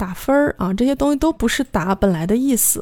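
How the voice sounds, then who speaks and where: Fairly high-pitched woman with a dark, mellow tone, lively intonation, moderate pace, very clean recording and silent background. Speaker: podcast host teaching Korean through dramas. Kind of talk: language lesson podcast.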